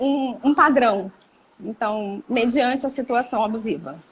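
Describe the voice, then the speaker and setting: A woman's fairly slow delivery with ordinary pitch variation. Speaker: psychologist. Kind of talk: interview on psychology.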